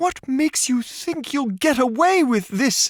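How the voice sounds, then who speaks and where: A put-on character voice at a fairly slow pace. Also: man. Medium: read story. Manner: defiant, furious.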